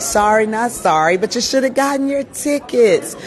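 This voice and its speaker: A woman's animated voice at a moderate pace, with crowd noise in the background. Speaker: PR agency owner and event host. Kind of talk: live event coverage. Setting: red carpet at a live fashion show.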